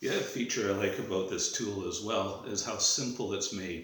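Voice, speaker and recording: Noticeable background noise and audible room echo surround a man talking at a fairly slow pace. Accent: Canadian. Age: 60s. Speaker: drywall tradesman. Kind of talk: product review. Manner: casual, hesitant with fillers.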